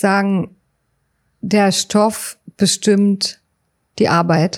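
A woman's dark, mellow tone at medium pitch. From Berlin, Germany. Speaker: writer and psycho-oncologist. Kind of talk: interview. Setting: inside a parked railway wagon at a memorial site. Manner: halting, many fillers.

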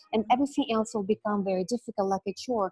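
A somewhat breathy woman with a fairly high pitch is heard in a dry, close sound with no echo. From Ukraine. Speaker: beauty and wellness coach. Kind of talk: casual interview chat.

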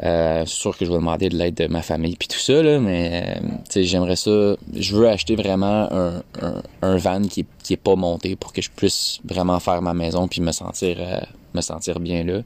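A man with a Quebec accent speaks at a moderate pace in a very deep, low voice with fairly even intonation. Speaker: podcaster. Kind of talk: personal monologue. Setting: outdoors.

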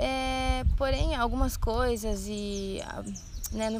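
A woman's voice is heard with audible room echo. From Brazil, Rio Grande do Sul (Santa Rosa). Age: 20s. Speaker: missionary trainee. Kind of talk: podcast conversation on church topics. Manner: hesitant, many filler sounds.

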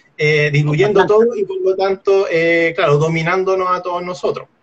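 A man speaks in a Chilean accent, his pitch high. His pitch variation is ordinary. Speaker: podcast co-host. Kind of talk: casual chat. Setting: live stream.

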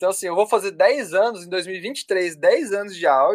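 A man's high voice, with ordinary pitch variation, comes through in a dry, close sound with no echo. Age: 20s. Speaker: music producer and audio engineer. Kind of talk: casual chat.

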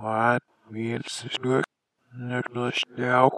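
A man uses a put-on character voice. His intonation stays monotone and flat. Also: medium pitch for a man. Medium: audio drama. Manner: broken, otherworldly speech.

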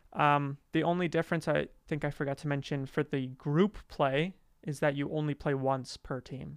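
A man with a Canadian accent, a normal speaking voice, fairly high-pitched and fairly even in intonation, at a moderate pace, in a dry, close sound with no echo and a quiet background. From Western Canada, Calgary, Alberta. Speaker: soccer podcast co-host. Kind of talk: casual chat.

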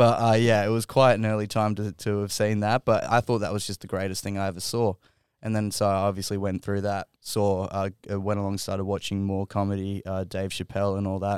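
A man with an Australian accent talks at a fairly quick pace in a fairly low, monotone, flat voice. The recording is very clean with a silent background and a dry, close sound with no echo. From Western Sydney, Australia. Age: 20s. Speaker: comedian. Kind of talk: casual chat. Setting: studio.

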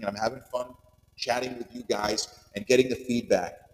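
In an American accent, the speaker talks at a very fast pace over noticeable background noise. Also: man. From US Northeast, Long Island, New York. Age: 40s. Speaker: podcaster. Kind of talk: personal monologue. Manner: animated.

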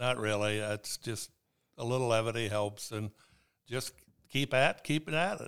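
Speaking at a moderate pace in a Midwestern US accent, a man uses ordinary pitch variation and leaves long, frequent pauses. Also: medium pitch for a man. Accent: rural Midwestern American. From Indiana, Steuben County. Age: 70s. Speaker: farmer. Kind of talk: casual interview. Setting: in person, at the farm office.

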